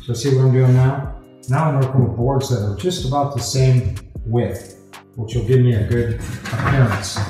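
A man's voice with ordinary pitch variation, audible room echo, and clear music in the background. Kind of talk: tutorial. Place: garage.

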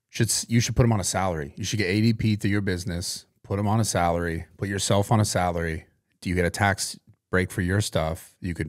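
Delivered at a fairly quick pace, this unremarkable speaking voice keeps a fairly even intonation over a quiet background. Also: man, fairly low pitch for a man. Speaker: podcast co-host. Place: studio. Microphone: studio mic.

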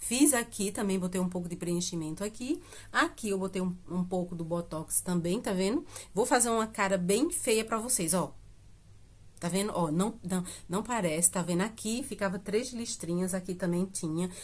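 A woman speaks at medium pitch and a moderate pace, her voice somewhat breathy. Her pitch varies in an ordinary way. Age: 50s. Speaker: beauty vlogger. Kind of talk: casual vlog talk to camera. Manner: chatty, filler-heavy with hesitations. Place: home room. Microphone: phone near.

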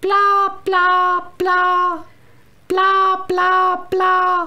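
A woman puts on a cartoonish character voice at an extremely high pitch. Her tone is whiny. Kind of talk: comic parody. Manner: whiny, nagging.

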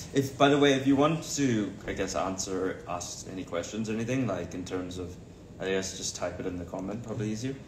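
Fairly low-pitched, a man speaks with lively intonation at a fairly quick pace. Background noise is noticeable. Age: 20s. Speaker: celebrity's sibling on livestream. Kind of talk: casual livestream chat. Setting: livestream video. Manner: jokey. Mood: relaxed, chatty. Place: home room. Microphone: phone near.

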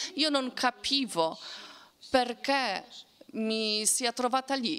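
A woman is speaking. Her pace is very slow. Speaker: Holocaust survivor. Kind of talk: testimony.

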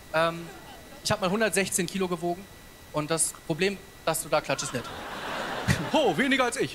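Noticeable background noise sits behind a man at high pitch who talks at a moderate pace with ordinary pitch variation. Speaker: stand-up comedian. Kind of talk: stand-up comedy routine. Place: stage. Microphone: handheld.

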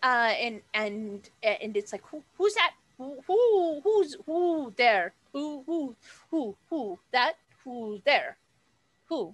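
At a very slow pace with long, frequent pauses, a woman uses a put-on character voice pitched high. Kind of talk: tabletop game master voicing. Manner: confused, repeating questions.

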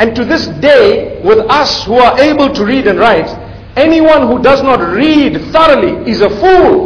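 A man at a fairly slow pace, his pitch swinging very widely. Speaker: religious lecturer. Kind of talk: sermon. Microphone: podium.

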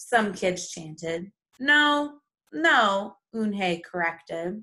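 With lively intonation, a natural reading voice carries over a quiet background.

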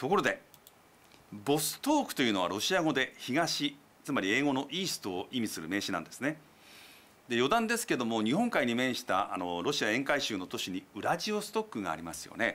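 A man with a bright, sharp tone and a medium pitch speaks at a fairly quick pace, with very wide pitch swings and big swings in loudness. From Japan. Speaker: TV news commentator. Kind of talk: explanatory news commentary. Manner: polite, measured. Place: studio. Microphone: lapel.

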